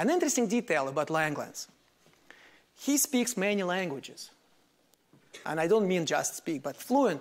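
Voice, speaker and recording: This man's voice is high for a man, swinging very widely in pitch at a moderate pace, broken by long, frequent pauses. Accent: Russian. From Soviet Union. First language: Russian. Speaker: mathematics professor. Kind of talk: lecture. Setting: lecture hall with audience. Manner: formal, explanatory.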